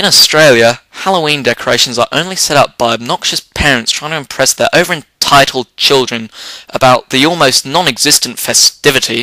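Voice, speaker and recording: The speaker talks at a fairly quick pace with an English accent and hardly any pauses. Pitch variation is ordinary, and the sound is dry and close with no echo. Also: man, fairly high pitch for a man. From England. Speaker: comedy vlogger. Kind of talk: comedic rant. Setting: home office chair. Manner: whimsical, wordy.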